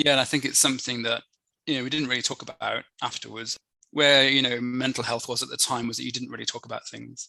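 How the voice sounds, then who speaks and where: A man with an American accent at medium pitch, very fast pace, monotone, flat intonation, vocal fry and a bright, sharp tone. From Birmingham, England (born Newcastle). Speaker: corporate training manager and inclusion advocate. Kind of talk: podcast interview. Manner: reflective, hesitant.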